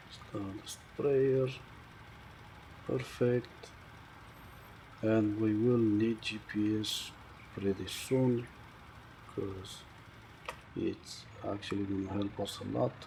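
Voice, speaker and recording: A man mumbling at a very slow pace in a fairly low voice, with ordinary pitch variation, long, frequent pauses and noticeable background noise. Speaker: gaming video creator. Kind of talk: gameplay commentary.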